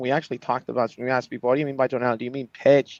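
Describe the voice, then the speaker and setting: A man is recorded with a dry, close sound and no echo. The background is quiet. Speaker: AI voice-analytics company leader. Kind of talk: live show interview. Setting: livestream. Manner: fast.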